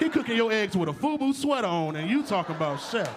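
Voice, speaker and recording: At a fairly quick pace, a man with an extremely high voice makes very wide pitch swings amid noticeable background noise and audible room echo. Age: 20s. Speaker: comedian. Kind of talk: stand-up. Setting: stage with audience. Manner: loud.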